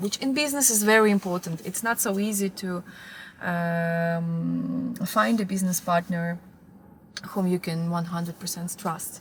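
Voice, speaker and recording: A woman speaks with a fairly low pitch. Noticeable background noise runs behind her. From Moldova. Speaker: fashion marketing manager. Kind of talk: interview answer.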